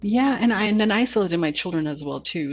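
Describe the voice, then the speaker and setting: A woman talks at a very fast pace with vocal fry. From Montreal, Quebec, Canada. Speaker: HR executive. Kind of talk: interview.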